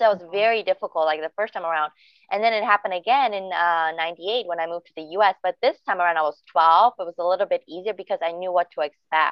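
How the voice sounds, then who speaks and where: A woman talks very fast at a medium pitch, with hardly any pauses and ordinary pitch variation. Her loudness swings widely. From former Yugoslavia (Bosnia), raised in Germany. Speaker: podcast co-host. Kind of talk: casual chat.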